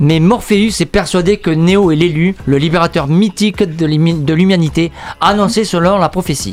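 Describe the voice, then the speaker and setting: A man speaks fairly slowly in a high voice. His loudness stays very even, with ordinary pitch variation. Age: old. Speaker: radio show columnist. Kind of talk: film review. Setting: radio studio.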